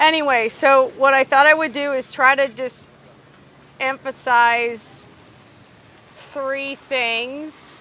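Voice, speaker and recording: A woman speaks very slowly in a raised, projected voice at a high pitch. Her delivery is flat and monotone, broken by long, frequent pauses. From Wisconsin, US Upper Midwest. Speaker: biologist. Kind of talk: public talk. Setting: outdoors, hot day.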